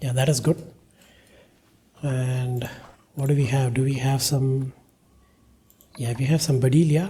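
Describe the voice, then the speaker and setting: A man with a non-native accent speaks fairly slowly at medium pitch, his dark, mellow, somewhat breathy voice keeping fairly even intonation through long, frequent pauses. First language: not English. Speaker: gaming YouTuber. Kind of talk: let's play commentary. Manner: casual, thinking aloud.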